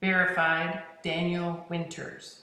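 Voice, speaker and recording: A woman's soft-spoken, put-on character voice, fairly low in pitch, with monotone, flat intonation and clear echo. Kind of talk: machine, automated.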